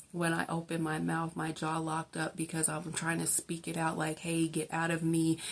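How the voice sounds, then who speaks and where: A woman with a fairly low pitch talks at a moderate pace with hardly any pauses. Her intonation is monotone and flat. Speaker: faith vlogger. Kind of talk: testimony. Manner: halting; casual, filler-heavy.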